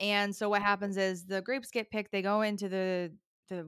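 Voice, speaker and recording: A woman with an American accent talks fairly quickly in a normal speaking voice at medium pitch, in a very clean, dry, close recording with a silent background and no echo. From upstate New York. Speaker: wine expert. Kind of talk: casual interview.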